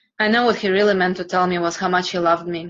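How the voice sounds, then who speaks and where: A woman with a Russian accent, fairly low in pitch and monotone, with flat intonation. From Russia, Siberia. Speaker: coaching student. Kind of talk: personal story reading.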